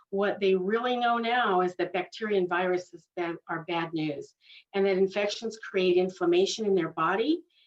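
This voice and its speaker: This woman has a medium-pitched voice. Her intonation stays fairly even. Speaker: dental hygienist and laser educator. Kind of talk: webinar lecture. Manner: fast.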